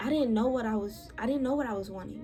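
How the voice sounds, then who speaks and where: The woman is soft-spoken. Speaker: podcast host. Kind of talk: personal storytelling monologue.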